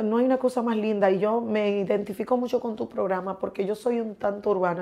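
Her tone is dark and mellow, her pitch medium. This woman speaks at a fairly quick pace. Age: 40s. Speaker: guest. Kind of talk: interview. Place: studio.

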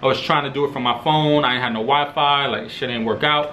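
Light background noise accompanies speech at a fairly quick pace. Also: man. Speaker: streetwear vlogger. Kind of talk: casual unboxing vlog chat. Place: home room.

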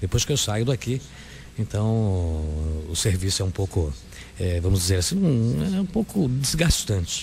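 A man speaks at a moderate pace in a fairly low, somewhat breathy voice with very wide pitch swings, long, frequent pauses, and light background noise. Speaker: radio announcer. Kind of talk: radio interview question. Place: studio.

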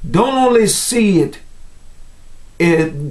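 This man speaks at a high pitch. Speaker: evangelist preacher. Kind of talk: sermon, Bible teaching. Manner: earnest, fervent preacher's delivery addressing 'brothers and sisters'; measured, teacherly, exhorting. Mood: earnest, preaching. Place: home room.

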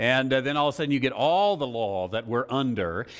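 The speaker has an American accent. The voice shows ordinary pitch variation. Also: man. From United States. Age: 50s. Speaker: Bible teacher. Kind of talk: Bible study lecture. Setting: live class with audience. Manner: halting. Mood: relaxed, humorous teaching. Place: church. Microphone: lapel.

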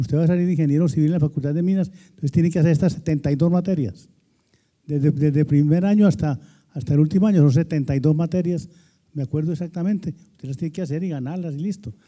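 Against a quiet background, a man with a dark, mellow tone and fairly high pitch speaks at a very fast pace with ordinary pitch variation. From Antioquia, Colombia. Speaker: retired professor and former executive; retired professor. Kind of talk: panel discussion. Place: hall. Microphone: handheld.

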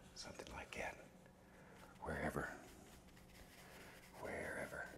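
A man whispers in a soothing tone at a fairly slow pace, with noticeable background noise. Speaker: painting instructor on a TV painting show. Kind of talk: calm instructional painting narration. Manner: soft-spoken, soothing, encouraging.

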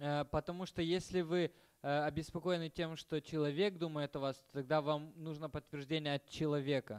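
The sound is dry and close with no echo. A man talks at a moderate pace in a fairly high pitch, his intonation fairly even. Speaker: interpreter. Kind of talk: lecture. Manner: halting.

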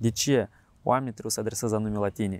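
The recording is dry with no echo as a man talks at a fairly quick pace. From Moldova. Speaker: show host. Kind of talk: interview. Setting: outdoors.

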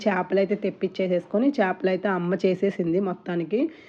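Medium-pitched female speech with a dark, mellow tone and fairly even intonation. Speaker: vlogger. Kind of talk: casual vlog narration.

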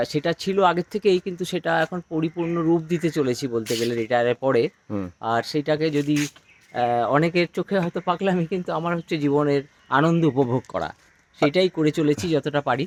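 In a dry, close sound with no echo, a man with an ordinary speaking voice talks at a fairly high pitch with ordinary pitch variation. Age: 60s. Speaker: retired government employee and gardener. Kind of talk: casual interview.

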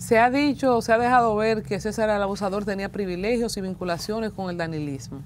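A woman with a Dominican accent talks at a fairly quick pace with lively intonation over light background noise. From Dominican Republic. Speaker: interviewer. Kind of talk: interview. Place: studio. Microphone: lapel.

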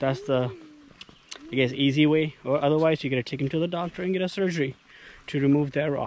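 The sound is dry with no echo. Speech comes at a fairly quick pace with fairly even intonation. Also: man. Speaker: dog owner vlogger. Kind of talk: casual vlog chat. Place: forest. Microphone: phone near.

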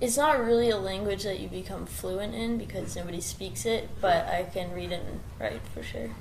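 A woman talks in an American accent at a moderate pace with hardly any pauses. Noticeable background noise can be heard. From New York. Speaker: adult film performer. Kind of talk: interview. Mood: relaxed, slightly shy. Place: home room. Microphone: camera far.

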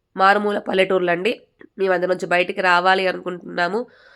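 An ordinary speaking voice comes through on a very clean recording with a silent background. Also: woman. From Telangana, Bhadradri Kothagudem district. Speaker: embroidery teacher and channel host. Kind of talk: tutorial.

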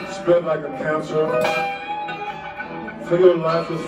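A man with an American accent at a very slow pace, under loud background noise. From United States. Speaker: poet. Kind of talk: spoken word poetry performance. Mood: dark, intense. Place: hall.

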